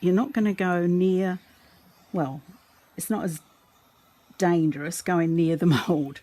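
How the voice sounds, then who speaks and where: With an Australian accent, a woman talks at a moderate pace in a fairly low pitch over noticeable background noise. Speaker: resin art teacher. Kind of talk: tutorial. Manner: casual, hesitant with fillers.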